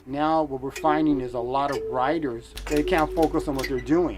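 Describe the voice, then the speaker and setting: A man talks fairly quickly with noticeable background noise in the mix. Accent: American. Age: 40s. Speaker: typewriter repairman. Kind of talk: documentary interview.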